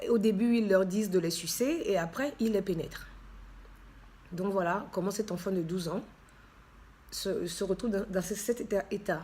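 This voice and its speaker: A woman speaks at a moderate pace in a medium-pitched, somewhat breathy voice with a dark, mellow tone and ordinary pitch variation. She leaves long, frequent pauses. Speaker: charity founder and author. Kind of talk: personal testimony with reading aloud. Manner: hesitant, many fillers.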